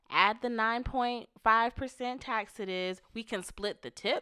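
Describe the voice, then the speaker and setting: A woman speaks at a moderate pace in an ordinary speaking voice. The very clean recording has a silent background and a dry, close sound with no echo. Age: 30s. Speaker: podcast co-host, married couple. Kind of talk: casual chat.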